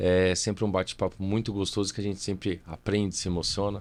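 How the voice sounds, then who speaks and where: A man's very deep, low pitch at a fairly quick pace, in a very clean recording with a silent background. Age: 30s. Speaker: civil engineer and company director. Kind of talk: podcast interview. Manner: talkative.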